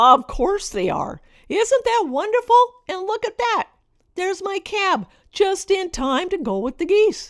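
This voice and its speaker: A woman's put-on character voice, extremely high in pitch, at a moderate pace with very wide pitch swings. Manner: patronizing, sweet.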